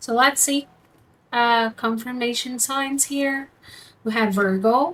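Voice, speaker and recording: This woman has a high pitch and fairly even intonation at a very slow pace. The recording is very clean, with a silent background. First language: not English. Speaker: tarot reader. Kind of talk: tarot reading. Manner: halting; casual.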